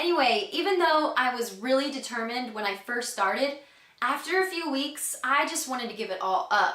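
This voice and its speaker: In a raised, projected voice with an American accent, a woman speaks at a high pitch with lively intonation, amid noticeable background noise and audible room echo. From Texas, Houston. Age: 20s. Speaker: customer giving a product testimonial. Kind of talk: testimony.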